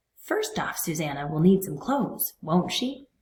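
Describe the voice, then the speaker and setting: Putting on a character voice, a woman speaks at a medium pitch and a moderate pace with very wide pitch swings. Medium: read story.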